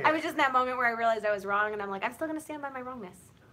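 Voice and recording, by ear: A woman talks at a very fast pace in a high pitch, with ordinary pitch variation. Background noise is noticeable.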